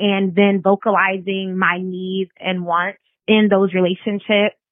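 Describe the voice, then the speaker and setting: Using a plain, everyday voice, a woman speaks at a fairly slow pace. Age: 20s. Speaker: listener leaving voicemail. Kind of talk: voicemail message. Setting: phone voicemail.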